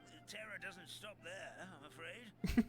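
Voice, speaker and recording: A man's high-pitched, put-on character voice at a fairly slow pace, with clear music in the background. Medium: video game. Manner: chuckling, rambling.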